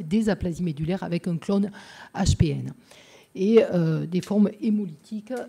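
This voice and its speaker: The speaker has a Marseille accent and a somewhat breathy voice, talking at a moderate pace. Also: woman. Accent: southern French (Marseille). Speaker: pediatrician. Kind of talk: conference talk. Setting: lecture hall with audience. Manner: hesitant, many filler sounds.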